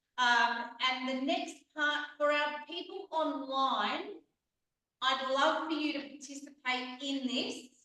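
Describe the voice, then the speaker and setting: High female pitch in an Australian accent, bright and sharp in tone, at a very slow pace with fairly even intonation and audible room echo. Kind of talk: facilitating a club meeting. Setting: meeting room with online participants, microphone. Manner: teacher-like projecting voice; soft without microphone.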